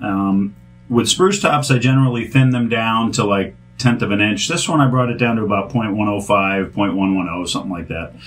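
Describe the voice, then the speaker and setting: At a fairly quick pace, a man uses a normal speaking voice at medium pitch with ordinary pitch variation. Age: 50s. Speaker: guitar restorer. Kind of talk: product demo. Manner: casual.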